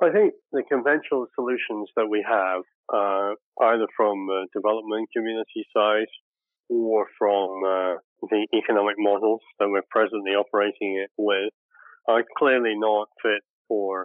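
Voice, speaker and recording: In a Scottish accent, a man speaks at a fairly slow pace. His fairly low pitch stays fairly even in intonation. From Scotland, Shetland Islands. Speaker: technology director and former war correspondent. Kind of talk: interview conversation.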